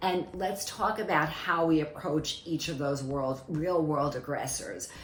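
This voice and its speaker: Amid noticeable background noise and audible room echo, a woman with a very deep, low voice speaks at a fairly slow pace. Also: ordinary pitch variation. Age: 60s. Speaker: dermatologist presenting her skincare line. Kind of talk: product presentation. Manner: formal.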